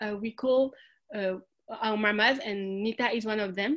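With a French accent, a woman talks at a moderate pace in a fairly high pitch, her intonation fairly even. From France, Algerian family. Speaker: social food entrepreneur. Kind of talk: interview. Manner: halting.

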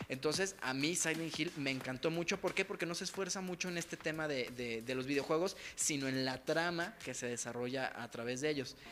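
With a Mexican accent, a man talks at a fairly quick pace and fairly high pitch, with ordinary pitch variation and hardly any pauses. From Mexico. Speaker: podcast co-host. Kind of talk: casual chat. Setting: in-person studio at a home.

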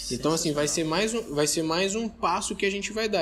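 His voice sits high for a man, and its pitch moves up and down in an ordinary way. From Brazil, Minas Gerais (Belo Horizonte/Contagem). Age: young. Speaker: entrepreneur, investment company founder. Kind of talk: casual interview chat.

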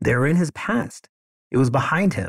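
A man talks at a moderate pace in a fairly high voice. The sound is dry and close with no echo, and the recording is very clean with a silent background. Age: 50s. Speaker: law school admissions consultant. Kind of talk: solo podcast monologue. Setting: office. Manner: unscripted, conversational.

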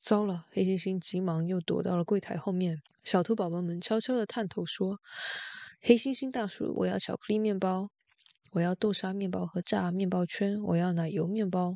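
This woman has an ordinary speaking voice at a medium pitch. Her intonation is fairly even, and her pace is moderate. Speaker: bedtime story narrator reading in Mandarin. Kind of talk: bedtime story reading, Mandarin narration.

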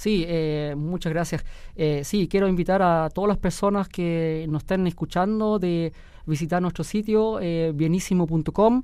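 Speaking at a fairly slow pace, a man with a high pitch keeps his intonation fairly even in a dark, mellow tone. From Germany. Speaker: real estate company director. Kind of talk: radio interview. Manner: hesitant, many fillers.

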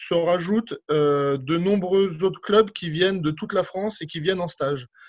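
With ordinary pitch variation, the man delivers his words rather slowly. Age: 40s. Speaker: aquatic centre director. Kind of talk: interview. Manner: hesitant, many fillers.

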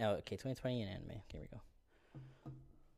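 At a moderate pace, a normal speaking voice comes through in a very clean recording with a silent background. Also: man. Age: 30s. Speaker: podcast host. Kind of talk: casual chat.

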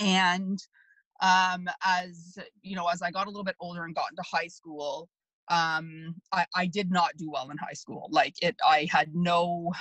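This is a woman with a plain, everyday voice and a Canadian accent. Her fairly low pitch and fairly slow pace come through in a dry, close sound with no echo. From Canada (Markham, Ontario). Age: 40s. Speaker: food media host. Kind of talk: casual interview. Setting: video call.

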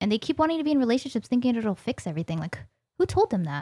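Somewhat breathy woman's voice with a dark, mellow tone, very wide pitch swings and a very fast pace, recorded very clean with a silent background and a dry, close sound with no echo. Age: 20s. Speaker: podcast guest. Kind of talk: casual chat. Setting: studio.

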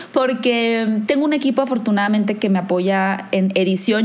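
A woman with a fairly high pitch and ordinary pitch variation is heard amid noticeable background noise and audible room echo. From northern Mexico, Hermosillo. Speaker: film YouTuber and content creator. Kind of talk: casual chat.

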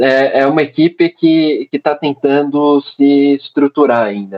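Using an unremarkable speaking voice, a man talks at a fairly slow pace and a fairly high pitch. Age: 20s. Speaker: civil engineer and American football referee. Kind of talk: casual podcast interview.

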